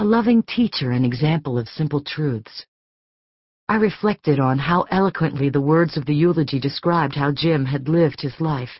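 A woman speaks at a moderate pace with lively intonation. Her pitch is very deep and low. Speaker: audiobook narrator. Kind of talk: audiobook narration, first-person fiction. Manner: measured, expressive, emotionally restrained; warm storytelling pace.

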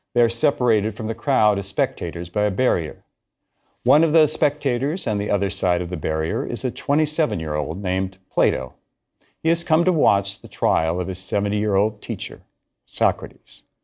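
Against a quiet background, a man with a fairly low, dark, mellow voice speaks at a fairly quick pace in a solemn tone, his pitch swinging very widely. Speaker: lecturer narrating audiobook course. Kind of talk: dramatic narration of history, lecture-style audiobook. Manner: solemn, measured, scene-setting storytelling; formal, authoritative professorial delivery.

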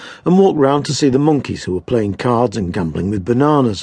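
This is reading aloud in a natural voice with lively intonation.

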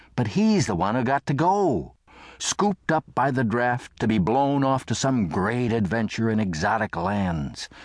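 A man speaks at a medium pitch with very even loudness, a fairly slow pace and lively intonation, in an unremarkable speaking voice. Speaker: audiobook narrator. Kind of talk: audiobook narration of a humorous memoir, wry first-person reminiscence of childhood. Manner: unhurried, mock-solemn, voicing characters in dialogue.

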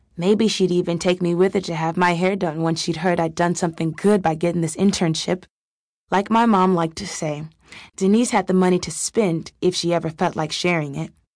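Against a quiet background, a woman speaks in a plain, everyday voice with fairly even intonation. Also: fairly low pitch for a woman, fairly quick pace. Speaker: audiobook narrator.

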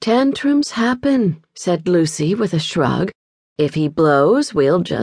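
The setting is quiet. A natural reading voice reads the text.

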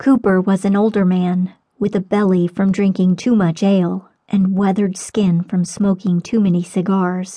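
Over a quiet background, the text is plainly read aloud.

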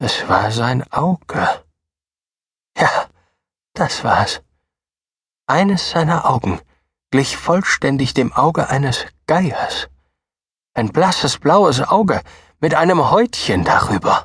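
A man in a raspy, put-on character voice at a fairly high pitch moves at a fairly slow pace through very wide pitch swings and long, frequent pauses. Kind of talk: horror narration, first-person confession. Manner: feverish, gloating, insistent.

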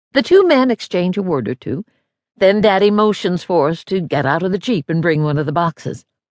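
Recorded dry and close with no echo in a quiet background, a woman speaks at a fairly quick pace in a medium pitch, her intonation lively and her tone warm and dramatic. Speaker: audiobook narrator. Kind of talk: audiobook narration of a memoir, dramatic and reflective, told in first person. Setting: studio. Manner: measured, warm, dramatic storytelling pace with tender, proud emphasis.

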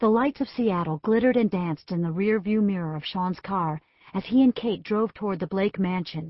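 Ordinary shifts in pitch within an unforced reading voice

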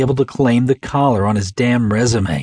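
A man talks with lively intonation in a dramatic tone. His voice is somewhat breathy. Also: dry, close sound with no echo. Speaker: audiobook narrator. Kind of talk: dramatic audiobook narration of a crime thriller, voicing characters. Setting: studio. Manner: dramatic, suspenseful, shifts between characters' voices; dry, clipped tone for the tough FBI agent; gruff for the detectives.

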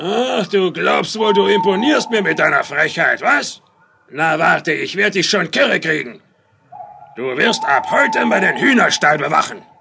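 This put-on character voice is gruff, at a moderate pace. Its loudness stays very even. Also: man, high pitch for a man. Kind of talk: children's radio play acting. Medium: audio drama. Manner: gruff, mocking, gloating.

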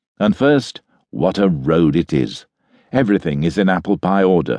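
The sound is dry and close, with no echo. A man with a dark, mellow tone speaks in very wide pitch swings. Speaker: audiobook narrator. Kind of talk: audiobook reading of a literary travel memoir. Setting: studio. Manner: formal, measured, stately; steady, even, polished delivery.

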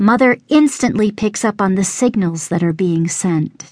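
Over a quiet background, a woman with a normal speaking voice talks at a fairly slow pace in a medium pitch, with ordinary pitch variation. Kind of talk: poetry reading, rhyming spoken word piece. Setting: audiobook recording. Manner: rhythmic, measured, reverent.

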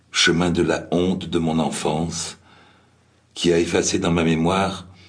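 A man speaks at a fairly slow pace in a very deep, low pitch. His tone is solemn. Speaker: memoir reader. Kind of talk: reading aloud a memoir. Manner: slow, solemn, reflective.

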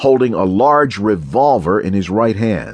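At a fairly slow pace, the voice swings very widely in pitch against a quiet background. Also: man. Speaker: audiobook narrator. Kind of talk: dramatic audiobook narration of crime fiction. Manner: shifts between narrator and quoted character voices.

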